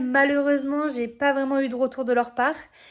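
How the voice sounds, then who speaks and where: Background noise comes through noticeably. The words arrive at a fairly quick pace. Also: woman. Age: 20s. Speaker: vlogger and amateur open-water swimmer. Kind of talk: personal vlog narration. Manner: hesitant, many fillers.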